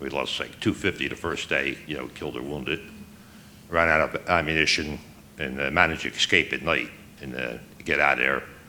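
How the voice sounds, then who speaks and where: Here a man with an American accent has a very deep, low pitch, a bright, sharp tone, and vocal fry. He moves at a fairly quick pace with fairly even intonation but takes long, frequent pauses. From New Jersey, Trenton. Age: 60s. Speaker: war veteran. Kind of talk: testimony. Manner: halting.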